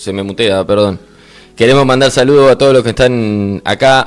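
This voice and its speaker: This man has an ordinary speaking voice at a medium pitch. He talks at a moderate pace with fairly even intonation. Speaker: radio show co-host. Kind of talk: casual chat.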